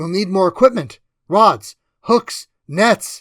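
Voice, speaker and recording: A man's put-on character voice, raspy and high in pitch, with ordinary pitch variation at a fairly slow pace, in a dry, close sound with no echo. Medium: read story. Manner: terse, practical.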